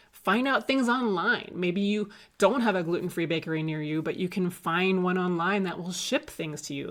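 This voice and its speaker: At a moderate pace and medium pitch, a woman talks in an unremarkable speaking voice. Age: 40s. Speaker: health coach. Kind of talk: casual talk to camera.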